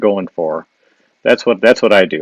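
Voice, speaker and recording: With a Wisconsin accent and lively intonation, a man talks in a dry, close sound with no echo. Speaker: illustrator and caricature artist. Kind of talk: live drawing demo with viewer Q&A. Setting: Instagram live stream. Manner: casual, with frequent fillers and restarts.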